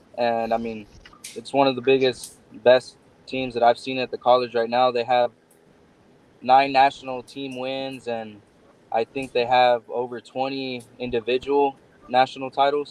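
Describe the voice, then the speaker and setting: A man's medium-pitched voice in a Texan accent, at a moderate pace, with monotone, flat intonation, big swings in loudness, and long, frequent pauses. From Texas, Odessa. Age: 20s. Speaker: bull rider. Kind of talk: interview.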